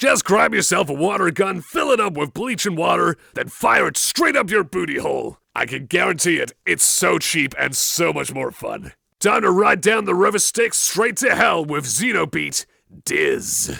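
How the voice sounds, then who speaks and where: Using a put-on character voice, a man speaks in a raspy, gruff, high-pitched, raised and projected voice at a moderate pace. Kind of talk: in-game radio DJ dialogue. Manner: outgoing, upbeat.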